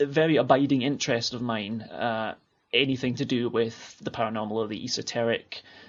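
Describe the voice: A man with a Scottish accent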